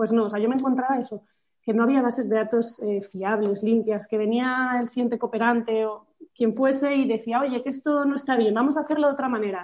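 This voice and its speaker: The woman's voice is fairly high-pitched, with fairly even intonation. She talks at a fairly quick pace. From Spain, Madrid. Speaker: nonprofit founder. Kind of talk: interview. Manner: halting, with many repetitions.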